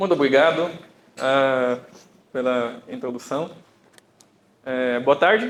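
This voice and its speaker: Speaking at a very slow pace with long, frequent pauses, a man uses a medium pitch and ordinary pitch variation, with audible room echo around him. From Brazil, Bakongo family from Angola. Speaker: computer engineer and data scientist, speaker. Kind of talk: conference talk. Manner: hesitant, with fillers.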